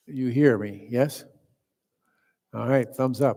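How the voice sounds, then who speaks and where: Soft-spoken and very slow, a man talks at a medium pitch with fairly even intonation. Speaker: meditation teacher. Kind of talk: dharma talk. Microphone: quiet, volume turned up.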